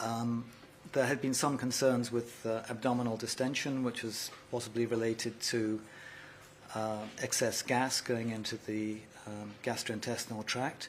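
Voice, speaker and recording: Monotone and flat, a man with a British accent speaks at a moderate pace and a medium pitch. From United Kingdom. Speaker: neonatologist. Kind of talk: press conference.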